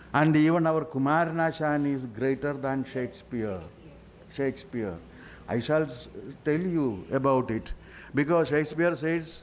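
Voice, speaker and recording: A man with a Keralan accent and a fairly high pitch talks at a moderate pace with ordinary pitch variation and long, frequent pauses. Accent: Indian English, Malayali. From Kerala, India. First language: Malayalam. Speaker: panelist, literary scholar. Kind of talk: panel discussion.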